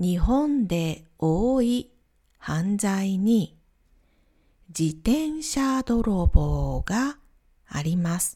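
Over a very clean recording with a silent background, a woman with a somewhat breathy, dark, mellow tone and medium pitch speaks at a very slow pace, with very wide pitch swings and long, frequent pauses. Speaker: Japanese language teacher. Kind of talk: simplified lesson podcast for learners. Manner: slow, simple phrasing.

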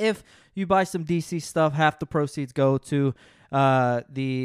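A man talks at a fairly slow pace in an animated tone, with ordinary variation in pitch. The sound is dry and close with no echo, on a very clean recording with a silent background. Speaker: solo podcast host discussing game novels. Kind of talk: casual book discussion podcast. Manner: animated, self-deprecating banter; stumbles over words.

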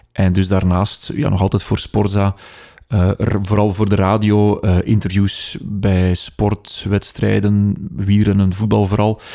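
In a Flemish accent, a man speaks at a fairly low pitch with a dark, mellow tone, monotone, flat intonation and very even loudness on a very clean recording with a silent background. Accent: Flemish Dutch. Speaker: radio news reader. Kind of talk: casual interview chat. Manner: fast talker, slight stutter.

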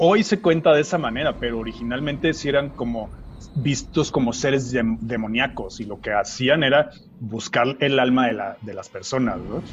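A man with a medium pitch talks at a moderate pace, sounding somewhat breathy. His pitch varies in an ordinary way while his loudness swings widely. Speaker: podcast co-host. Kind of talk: casual chat.

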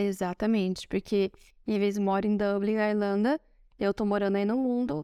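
A woman speaks at a moderate pace with a medium pitch and a dark, mellow tone. The sound is dry and close, with no echo. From Brazil. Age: 30s. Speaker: podcast co-host. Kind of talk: casual chat. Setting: recording in Rome.

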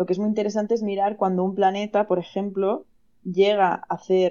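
A woman with a medium pitch speaks in a monotone, flat intonation. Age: 30s. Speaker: astrologer. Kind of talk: interview.

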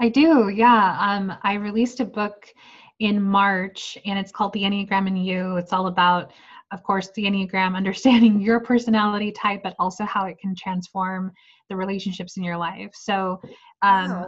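A woman with a medium pitch talks at a moderate pace in a somewhat breathy voice. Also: fairly even intonation. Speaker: women's life coach. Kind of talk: interview explaining personality typology.

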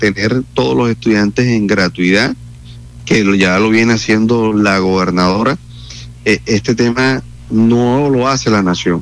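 Here a man speaks at a fairly slow pace. His pitch is fairly low, with ordinary variation. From Colombia, Atlántico (Santo Tomás). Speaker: politician and university lecturer. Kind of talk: radio interview. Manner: halting, many repetitions and fillers.

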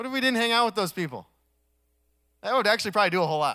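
On a very clean recording with a silent background, a man raises and projects his high-pitched voice, bright and sharp in tone, animated and full of very wide pitch swings. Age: 30s. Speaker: pastor. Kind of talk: sermon.

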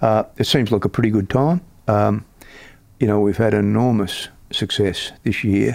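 A man's dark, mellow voice with an Australian accent, fairly low in pitch, at a moderate pace with ordinary pitch variation, on a very clean recording with a silent background. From Australia, Melbourne. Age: 70s. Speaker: superannuation industry veteran. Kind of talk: interview.

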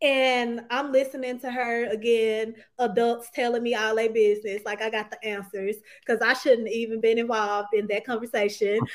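A woman's fairly high-pitched, monotone voice with flat intonation at a moderate pace, in a very clean recording with a silent background. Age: 20s. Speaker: author. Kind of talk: interview.

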